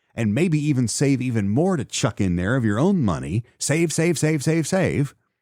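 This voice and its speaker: A man's fairly high-pitched voice with very wide pitch swings at a fairly slow pace, on a very clean recording with a silent background. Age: 50s. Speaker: podcast host. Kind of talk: solo podcast commentary. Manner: casual, conversational with fillers.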